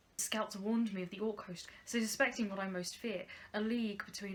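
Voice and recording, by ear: Fairly even intonation from a natural voice reading aloud.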